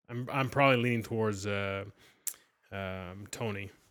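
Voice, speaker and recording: A man with a Canadian accent speaks at a fairly slow pace with ordinary pitch variation. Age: 40s. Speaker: sports podcast co-host. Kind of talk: casual chat.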